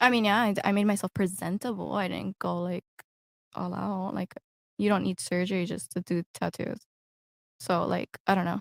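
Moderate-paced speech with an American accent and long, frequent pauses, dry and close with no echo, on a very clean recording with a silent background. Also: woman. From Miami, Florida. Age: 20s. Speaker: adult content creator. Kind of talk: casual chat.

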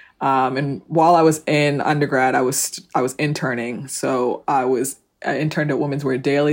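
A woman with an American accent talks at a fairly quick pace in a very deep, low pitch and a monotone, flat delivery. The recording is very clean, with a silent background. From New Jersey, South Orange. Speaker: fashion e-commerce founder and CEO. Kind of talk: interview.

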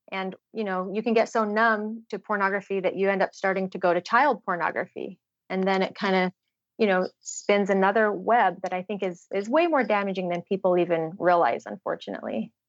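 A woman with an American accent has a plain, everyday voice at medium pitch and fairly even intonation. She talks at a fairly quick pace in a dry, close sound with no echo against a quiet background. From Utah. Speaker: trafficking survivor and advocate. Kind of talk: interview testimony.

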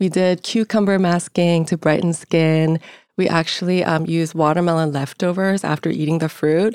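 In a very clean recording with a silent background and a dry, close sound with no echo, a woman with a Korean accent speaks at a moderate pace and fairly low pitch, her loudness very even and her intonation fairly even. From Seoul, South Korea. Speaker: beauty brand founder. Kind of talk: interview.

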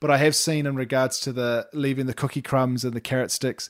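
On a very clean recording with a silent background, a man with a New Zealand accent speaks at a fairly high pitch. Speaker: parenting podcast co-host. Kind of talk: casual chat. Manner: animated, laughing often.

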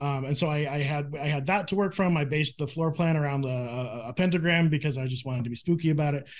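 Speaking very fast in an American accent, a man leaves hardly any pauses. His fairly high voice has ordinary pitch variation. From Phoenix, Arizona. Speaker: comic book artist. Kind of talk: casual interview. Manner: hesitant, many fillers.

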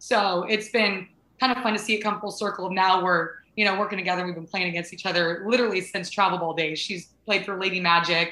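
Speaking at a very fast pace, a woman with an American accent keeps to a medium pitch. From Southern California. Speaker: softball coach and former college athlete. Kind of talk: interview. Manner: animated.

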